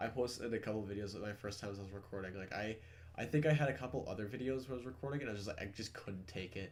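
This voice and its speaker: Audible room echo carries a man's somewhat breathy, fairly low voice as he speaks at a very fast pace. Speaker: gaming content creator. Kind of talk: casual gaming chat.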